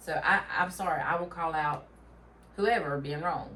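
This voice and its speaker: Speaking with a Southern US accent, a woman talks at a fairly low pitch and a fairly slow pace, with audible room echo. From Tennessee. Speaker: podcast co-host. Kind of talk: casual chat.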